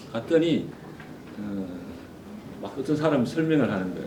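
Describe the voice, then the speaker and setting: A man with a Gyeongsang accent talks at a moderate pace, with very wide pitch swings. Audible room echo and noticeable background noise accompany him. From South Korea, Gyeongsang (Ulsan). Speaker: forum speaker, adviser. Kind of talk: conference talk. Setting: stage with audience.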